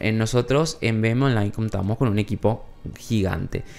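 At a moderate speed, a man says his words. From Paraguay. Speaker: news show co-host; news podcast co-host. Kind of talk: casual news chat. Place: studio. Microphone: studio mic.

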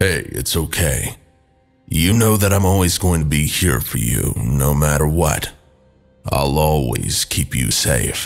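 Over faint background music, a man uses a put-on character voice that is raspy and very deep, speaking at a fairly slow pace. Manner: soothing, protective; casual, joking.

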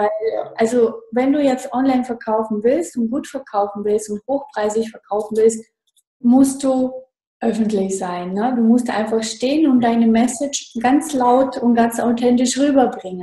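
A woman with a high pitch speaks at a fairly slow pace, her intonation fairly even. The background is quiet, though audible room echo surrounds her. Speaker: online marketing consultant. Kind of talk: interview. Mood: cheerful, enthusiastic. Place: home room. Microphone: video call.

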